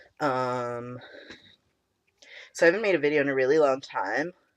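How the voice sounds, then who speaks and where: Against a quiet background, a man talks at a moderate pace in a shaky voice. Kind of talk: casual talk to camera.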